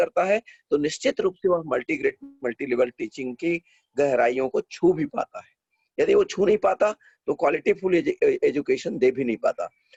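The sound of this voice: A man at a moderate pace, fairly high-pitched with a slightly mellow tone, a slightly husky edge, vocal fry and lively intonation, in dry, close sound with no echo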